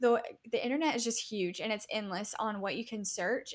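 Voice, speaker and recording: Fairly even intonation in an ordinary speaking voice. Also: woman. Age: 20s. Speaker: web and branding designer. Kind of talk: interview.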